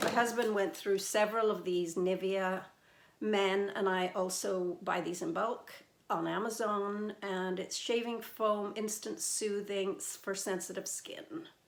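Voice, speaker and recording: A woman speaks at a medium pitch and a fairly slow pace, with ordinary pitch variation. Audible room echo surrounds her voice. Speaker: beauty and fragrance vlogger. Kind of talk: casual product review. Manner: many fillers (um, uh).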